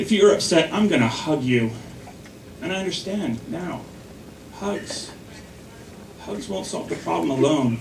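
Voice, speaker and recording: An animated tone with very wide pitch swings, a fairly slow pace and long, frequent pauses, amid noticeable background noise. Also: man. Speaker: stand-up comedian; stay-at-home dad. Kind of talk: stand-up comedy. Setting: stage with audience. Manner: animated, punchline-driven delivery with pauses; self-deprecating, laughing at own jokes.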